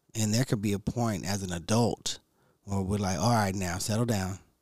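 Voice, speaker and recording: With an unremarkable speaking voice, a man talks at a moderate pace and fairly low pitch, his intonation fairly even, on a very clean recording with a silent background. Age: 40s. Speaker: podcast host with cancer. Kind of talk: casual motivational monologue. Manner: relaxed, conversational with fillers.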